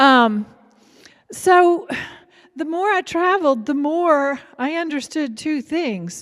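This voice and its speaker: A woman with an Appalachian accent speaks at a very slow pace in a high voice, her intonation lively and broken by long, frequent pauses. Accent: Appalachian Southern US. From Kentucky, Appalachia. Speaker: writer. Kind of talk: public talk.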